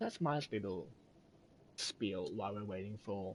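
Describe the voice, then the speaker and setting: A man talks at a fairly low pitch. His pace is moderate. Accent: Australian. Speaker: video game streamer. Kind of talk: casual chat.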